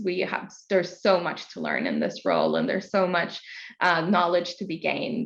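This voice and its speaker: A woman with a Norwegian accent at a moderate pace. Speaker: international expansion and marketing leader. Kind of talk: interview.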